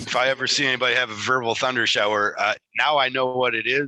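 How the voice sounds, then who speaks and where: Speaking very fast with a Michigan accent, a man has a medium pitch, a bright, sharp tone and fairly even intonation in a dry, close sound with no echo. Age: 40s. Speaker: tattoo artist and podcast host. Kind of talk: casual interview chat. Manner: halting, repeats words.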